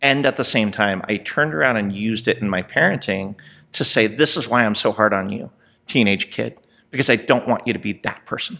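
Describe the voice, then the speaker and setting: Over a very clean recording with a silent background, a man with a General American accent speaks in a plain, everyday voice, fairly quick and fairly low-pitched, with ordinary pitch variation. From Southern California. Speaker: restaurant technology executive. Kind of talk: casual chat. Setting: in person.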